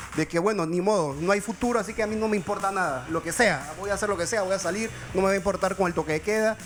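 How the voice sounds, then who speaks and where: With music in the background, a man talks at a very fast pace in a high pitch. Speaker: sociologist. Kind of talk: TV talk show interview. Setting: TV studio.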